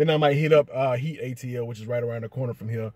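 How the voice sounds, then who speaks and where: A man's somewhat breathy voice, fairly quick, with fairly even intonation and a dry sound with no echo. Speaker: sneaker vlogger. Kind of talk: casual vlog chat. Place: car. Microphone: phone near.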